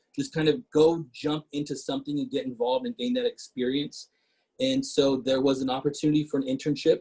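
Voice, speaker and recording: Recorded with a dry, close sound and no echo, a man talks at a fairly quick pace in a somewhat breathy voice with a fairly high pitch. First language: Portuguese. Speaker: city council member. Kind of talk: casual talk.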